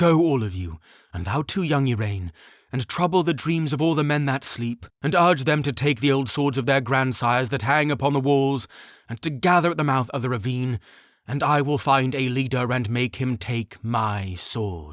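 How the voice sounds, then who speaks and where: In a very clean recording with a silent background, a man does a put-on character voice at medium pitch and a moderate pace. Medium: read story. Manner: solemn, archaic speech.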